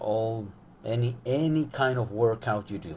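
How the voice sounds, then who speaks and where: The man's fairly low voice is somewhat breathy and comes at a fairly slow pace. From Venezuela. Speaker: sport psychologist. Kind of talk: live social media talk. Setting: Instagram live stream. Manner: hesitant, many fillers.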